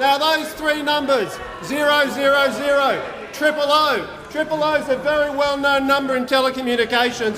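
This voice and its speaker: A man speaks in a raised, projected voice at an extremely high pitch, with fairly even intonation and hardly any pauses. His moderate pace comes over noticeable background noise. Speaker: government minister answering in parliament. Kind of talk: parliamentary speech.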